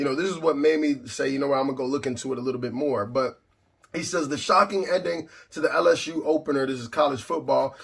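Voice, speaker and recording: Talking at a very fast pace with ordinary pitch variation, the speaker is heard over noticeable background noise. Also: man. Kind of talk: religious commentary talk to camera. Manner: indignant, emphatic.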